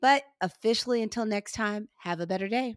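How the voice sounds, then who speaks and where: The recording is very clean and the background silent. The woman's voice sits at a medium pitch. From St. Louis, Missouri, US Midwest. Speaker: podcast host, psychiatrist. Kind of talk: casual interview chat.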